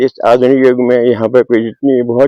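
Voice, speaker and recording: Medium-pitched male voice with a dark, mellow tone and a dry, close sound with no echo. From Garhwal, Uttarakhand. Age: 80s+. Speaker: retired villager. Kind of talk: interview.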